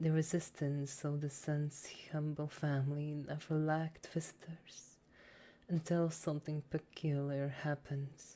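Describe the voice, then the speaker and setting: A soft-spoken woman, her pitch very deep and low, with a dark, mellow tone, monotone, flat intonation, very even loudness and a fairly slow pace. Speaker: ASMR reader / VTuber. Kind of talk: soft story reading for sleep. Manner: soft-spoken, relaxing.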